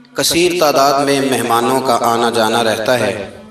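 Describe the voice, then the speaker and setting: A man speaks with music playing in the background. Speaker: Islamic preacher. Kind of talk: religious sermon. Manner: emotional, passionate.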